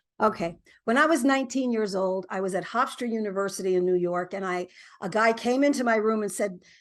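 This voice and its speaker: A woman's very fast speech in an American accent, at a medium pitch with ordinary pitch variation and a quiet background. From US South. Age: 60s. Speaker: singer-songwriter. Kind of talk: interview.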